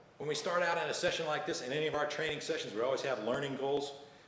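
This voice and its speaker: Noticeable background noise and audible room echo fill the recording. The man's pitch is fairly high and his intonation fairly even. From United States. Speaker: leadership trainer. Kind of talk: presentation. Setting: live online training.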